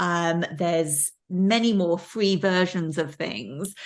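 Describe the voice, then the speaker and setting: With a slight Welsh accent, a woman speaks very slowly against a quiet background. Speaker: professor. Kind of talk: lecture. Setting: video call. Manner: many fillers and repetitions.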